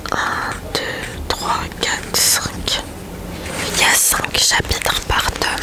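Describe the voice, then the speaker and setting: Someone whispers at a very slow pace, with long, frequent pauses and noticeable background noise. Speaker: ASMR creator. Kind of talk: ASMR book review talk. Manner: whispered.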